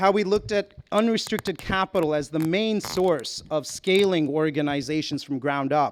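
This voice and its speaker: A man speaks in a normal speaking voice with an American accent. His pitch is fairly high, with ordinary variation, and his pace is moderate. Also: hardly any pauses, very clean recording, silent background. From US, Houston, Texas. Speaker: nonprofit co-founder. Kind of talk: conference talk.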